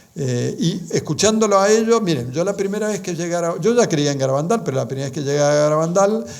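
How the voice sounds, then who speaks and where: Speaking very fast with hardly any pauses, a man with an Argentine accent uses a high pitch and lively intonation amid audible room echo. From Argentina. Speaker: lecturer on religious apparitions. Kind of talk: lecture. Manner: halting, many fillers and restarts.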